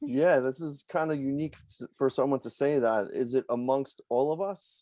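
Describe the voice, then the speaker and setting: With a New York accent, a man speaks at a fairly high pitch in a dark, mellow tone, at a moderate pace with ordinary pitch variation. The sound is dry and close with no echo, over a quiet background. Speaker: poker vlogger and podcast host. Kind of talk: casual interview. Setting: video call.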